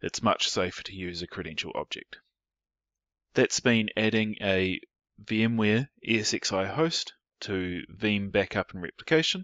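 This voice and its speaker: In a New Zealand accent, a man speaks at a fairly slow pace in a fairly low voice. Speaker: IT professional. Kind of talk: technical tutorial narration.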